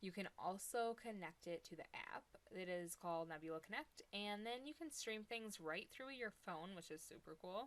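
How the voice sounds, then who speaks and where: Speaking with an Ohio accent, a woman keeps a moderate pace with hardly any pauses, her medium pitch carrying lively intonation. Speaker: product reviewer. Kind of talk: casual chat; product demo live stream. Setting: live stream. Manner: casual and chatty.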